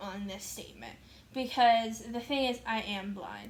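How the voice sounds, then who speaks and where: Audible room echo surrounds the voice. A woman speaks at a fairly high pitch. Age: 20s. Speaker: vlogger. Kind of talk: casual vlog chat. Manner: filler-heavy casual speech.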